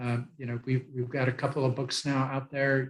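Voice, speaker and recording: A somewhat breathy man at medium pitch, monotone and flat in intonation, at a moderate pace. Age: 70s. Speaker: author and program founder. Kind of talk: interview. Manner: halting, many fillers.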